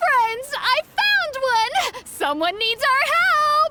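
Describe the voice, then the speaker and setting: In a put-on character voice, a woman speaks very slowly at an extremely high pitch. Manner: loud, excited.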